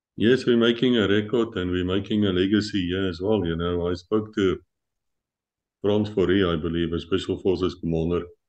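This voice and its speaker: A man's very deep, low voice at a fairly quick pace with fairly even intonation, against a quiet background. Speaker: interview show host. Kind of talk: interview. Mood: relaxed, chatty. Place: home room. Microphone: video call.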